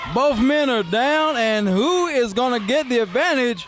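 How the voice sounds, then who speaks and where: Against noticeable background noise, a man speaks very slowly with an extremely high pitch and lively intonation. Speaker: wrestling commentator. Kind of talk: live play-by-play commentary. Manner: excited, casual.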